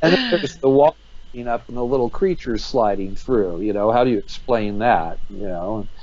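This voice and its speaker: Talking at a fairly quick pace with lively intonation, a man with an American accent has a plain, everyday voice. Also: medium pitch for a man. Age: 60s. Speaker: UFO investigator. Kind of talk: interview.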